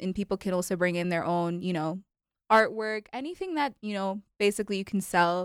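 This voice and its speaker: A woman has an unremarkable speaking voice and talks at a fairly quick pace with ordinary pitch variation. The sound is dry and close with no echo, on a very clean recording with a silent background. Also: medium pitch for a woman. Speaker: student club co-founder. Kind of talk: radio interview.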